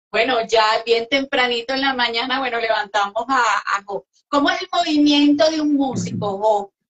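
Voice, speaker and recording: Against a quiet background, a woman with a high voice talks at a moderate pace with ordinary pitch variation and hardly any pauses. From Venezuela. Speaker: interviewer and music show host. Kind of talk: interview chat. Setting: live online interview. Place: home room.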